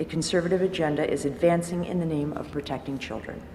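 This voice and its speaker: Speech with ordinary pitch variation runs over noticeable background noise. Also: woman. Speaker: public commenter at school board meeting. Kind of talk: prepared public comment.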